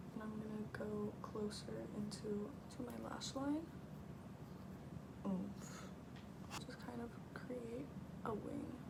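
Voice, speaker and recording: A woman speaks softly. Noticeable background noise surrounds her. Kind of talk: ASMR soft-spoken makeup tutorial. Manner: soft-spoken.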